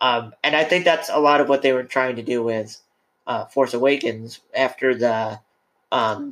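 In a plain, everyday voice, a man talks at a medium pitch with ordinary pitch variation. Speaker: podcast host. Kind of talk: casual chat. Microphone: too close to the mic.

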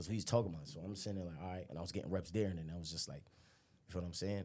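Very deep and low in pitch, a man's dark, mellow voice moves at a very fast pace with ordinary pitch variation. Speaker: college football player. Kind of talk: casual chat.

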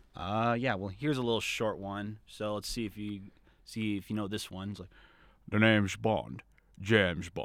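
A man speaks in a plain, everyday voice at a moderate pace, his pitch fairly low and his intonation fairly even, on a very clean recording with a silent background. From Arizona. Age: 20s. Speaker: student and voice impressionist. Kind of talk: casual chat.

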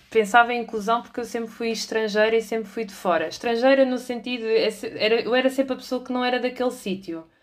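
Her fairly high-pitched voice moves at a fairly quick pace with hardly any pauses, as the woman keeps her intonation fairly even. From Portugal, moved between cities. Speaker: employer branding specialist and trainer. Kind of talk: interview. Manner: halting, many fillers.

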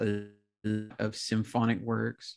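A man's medium-pitched, monotone, flat delivery at a fairly slow pace, on a very clean recording with a silent background. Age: 20s. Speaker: horn player and music performance student. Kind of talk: casual chat.

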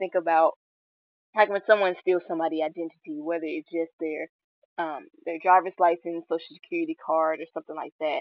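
A woman's fairly low voice at a fairly quick pace, with ordinary pitch variation and big swings in loudness. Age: 20s. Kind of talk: faith-based monologue. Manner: halting, many fillers.

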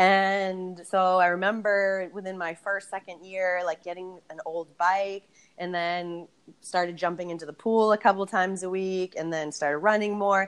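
A woman speaks at a moderate pace with a normal speaking voice, medium in pitch and in an American accent. Her intonation stays fairly even while her loudness swings widely. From Boston, US. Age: 30s. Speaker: yoga and barre instructor with PhD. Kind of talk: casual interview chat.

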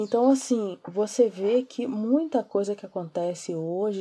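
In a very clean recording with a silent background, a woman speaks in a dark, mellow tone. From Brazil, Niterói, Rio de Janeiro. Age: 30s. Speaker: comic writer and social media influencer. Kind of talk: interview.

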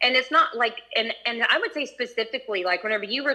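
Words come at a fairly quick pace. Pitch shifts in an ordinary way. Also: woman. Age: 50s. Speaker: astrology student. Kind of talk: casual question to teacher. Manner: halting, many fillers.

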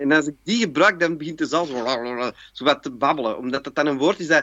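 This man talks at a fairly quick pace. His voice sits fairly high in pitch. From Antwerp, Belgium. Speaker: actor and cabaret performer. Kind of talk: casual chat.

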